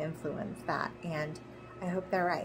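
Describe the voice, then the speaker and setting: With noticeable background noise around her, a woman speaks in a somewhat breathy, fairly low voice with ordinary pitch variation. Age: 40s. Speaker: video blogger sharing her Alzheimer's risk. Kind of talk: personal explainer monologue. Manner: some hesitations. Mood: calm, earnest, hopeful. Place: home room. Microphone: phone near.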